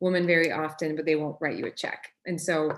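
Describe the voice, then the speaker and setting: With a French Canadian accent, a woman speaks at a moderate pace in a very deep, low pitch against a quiet background. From Quebec, Canada. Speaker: startup founder and CEO. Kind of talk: workshop talk.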